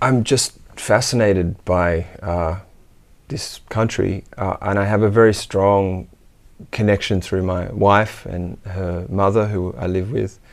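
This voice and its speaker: At a very slow pace, a man talks in a fairly low voice. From Australia. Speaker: musician and music teacher; music teacher. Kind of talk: interview. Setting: home studio. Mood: warm, reflective. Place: studio. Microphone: lapel.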